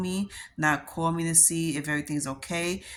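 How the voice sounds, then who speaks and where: In a New York accent, a woman speaks with fairly low pitch and fairly even intonation at a moderate pace on a very clean recording with a silent background. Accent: New York accent, noticeable. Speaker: vlogger. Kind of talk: personal vlog monologue.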